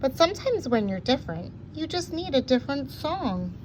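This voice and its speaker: In a put-on character voice, the speaker goes at a fairly quick pace amid clear background noise. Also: woman. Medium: read story.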